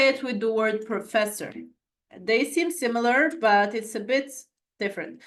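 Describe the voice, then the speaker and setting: A woman talks with a non-native accent. She goes at a fairly slow pace, with long, frequent pauses. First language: not English. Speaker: French language tutor. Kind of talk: online lesson. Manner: halting, self-correcting.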